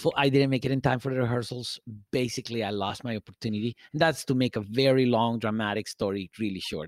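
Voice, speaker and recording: A man with a Spanish accent at a very fast pace, with ordinary pitch variation and a dry, close sound with no echo. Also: medium pitch for a man. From Guatemala, Guatemala City. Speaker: salsa DJ. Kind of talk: casual chat. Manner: halting, many fillers.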